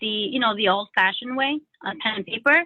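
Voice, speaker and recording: This woman has a non-native accent and a fairly high pitch, with pitch that varies in an ordinary way. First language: not English. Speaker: LSAT student. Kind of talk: coaching session. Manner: halting, many fillers.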